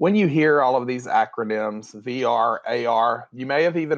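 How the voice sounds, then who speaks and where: Here a man speaks with a Southern US accent at a medium pitch. His intonation is lively, and the background is quiet. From US South, Tennessee. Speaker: education technology director, former school leader. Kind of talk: webinar presentation. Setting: video call. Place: home room. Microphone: webcam.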